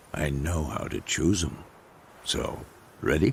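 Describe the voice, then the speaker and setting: A man puts on a gruff character voice with a very deep, low pitch. He goes at a fairly slow pace over light background noise. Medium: video game. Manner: gruff, dryly teasing.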